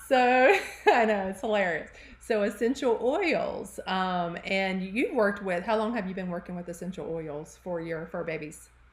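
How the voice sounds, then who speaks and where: Over noticeable background noise, a speaker with a Southern US accent talks with lively intonation. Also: woman, medium pitch for a woman. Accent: Southern drawl. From US South, Charlotte, North Carolina. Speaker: podcast host, health practitioner. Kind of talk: casual interview chat. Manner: animated.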